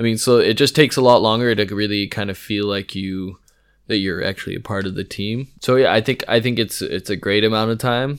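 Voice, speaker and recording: A man with an American accent, fairly quick and fairly even in intonation, on a very clean recording with a silent background. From California, US. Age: late 20s. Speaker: brewing apprentice. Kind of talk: casual interview.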